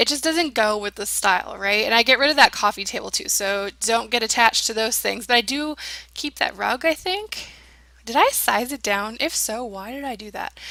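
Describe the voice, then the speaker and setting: A woman with a fairly high pitch talks at a fairly quick pace in an animated tone with lively intonation, over noticeable background noise. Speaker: gaming youtuber. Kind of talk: casual voiceover commentary.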